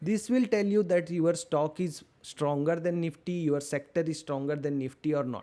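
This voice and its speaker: Recorded very cleanly against a silent background, a man with an Indian accent speaks fairly slowly in a high pitch, his dark, mellow tone showing ordinary pitch variation. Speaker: stock market educator. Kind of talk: tutorial. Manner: slow, deliberate.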